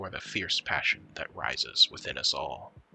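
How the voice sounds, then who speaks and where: A soft-spoken man at a fairly slow pace, with music in the background. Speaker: worldbuilding artist. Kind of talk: lore narration. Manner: soft-spoken, quiet.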